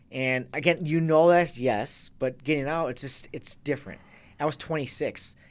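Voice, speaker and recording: At a moderate pace, a man with an American accent and a fairly high pitch speaks with fairly even intonation. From US Midwest, Racine, Wisconsin. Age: 30s. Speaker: Marine veteran and fitness coach. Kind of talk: casual interview chat. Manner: halting, many false starts.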